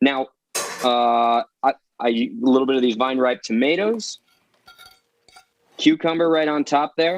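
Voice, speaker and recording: Long, frequent pauses break up a man's fairly high, lively voice, heard dry and close with no echo. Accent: New Jersey. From New Jersey. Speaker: chef and seafood restaurant owner. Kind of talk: cooking show chat. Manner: fast, animated.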